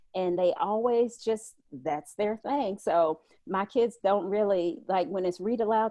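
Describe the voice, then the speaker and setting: A woman with a Southern US accent speaks at medium pitch in a dark, mellow tone. The background is quiet, and the sound is dry and close with no echo. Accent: Southern drawl. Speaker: homeschooling mom and blogger. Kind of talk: casual chat. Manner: animated.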